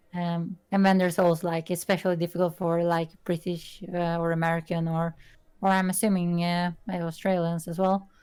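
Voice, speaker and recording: Monotone, flat intonation marks a woman with a Swedish accent and a fairly low pitch. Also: moderate pace. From Sweden. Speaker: artist. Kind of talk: casual chat. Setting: live stream.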